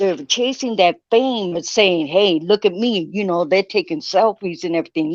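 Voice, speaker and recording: With a normal speaking voice, the speaker talks at a fairly slow pace with lively intonation in a dry, close sound with no echo. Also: woman. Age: 60s. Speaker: guest in group discussion. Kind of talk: casual chat.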